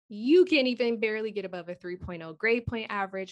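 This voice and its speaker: Over a quiet background, a woman talks at a fairly quick pace with fairly even intonation in a plain, everyday voice. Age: 30s. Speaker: thyroid health coach. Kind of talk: casual interview.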